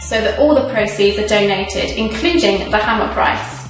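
A woman speaks at a moderate pace with a fairly high pitch and lively intonation, with faint music behind her and audible room echo. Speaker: auction house presenter. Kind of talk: charity promotional video presentation. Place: studio.

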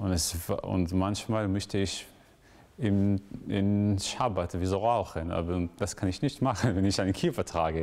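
Speaking in an Israeli accent, a man uses a fairly low pitch at a fairly slow pace. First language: Hebrew (speaking German). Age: 20s. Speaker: graduate student; interviewee. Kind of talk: interview; interview answer. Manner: halting, with frequent fillers. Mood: thoughtful, calm. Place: church.

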